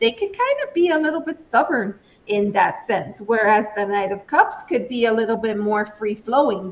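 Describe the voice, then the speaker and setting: A woman at a moderate pace with very wide pitch swings. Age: 60s. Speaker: tarot reader. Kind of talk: tarot reading. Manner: conversational.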